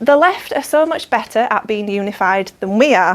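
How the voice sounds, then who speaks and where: A woman with a Yorkshire accent, fairly high-pitched, with lively intonation. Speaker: political activist. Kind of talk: speech. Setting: dinner event with audience.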